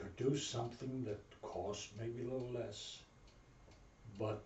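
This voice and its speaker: With noticeable noise behind him, the man talks at a medium pitch and varies it in an ordinary way. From Berlin, Germany. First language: German. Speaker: Navy veteran. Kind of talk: interview answer.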